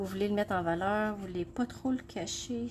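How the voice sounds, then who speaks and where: In a Quebec accent, a woman of medium pitch speaks at a fairly slow pace, somewhat breathy and with lively intonation. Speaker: craft demonstrator. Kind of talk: live craft tutorial. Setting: Facebook live stream. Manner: hesitant, many fillers.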